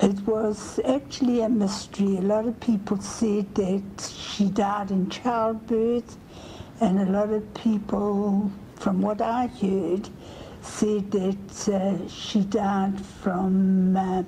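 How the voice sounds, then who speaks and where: Here a woman speaks at a very slow pace and a medium pitch, in a monotone, flat intonation with very even loudness. There is audible room echo and noticeable background noise. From South Africa, Germiston near Johannesburg. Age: 80s+. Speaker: family history interviewee. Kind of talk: oral history interview.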